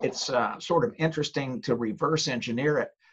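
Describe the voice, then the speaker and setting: A man's fairly high voice has a bright, sharp tone and very wide pitch swings. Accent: American. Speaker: author, former lawyer, ghostwriting publisher. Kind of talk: casual interview.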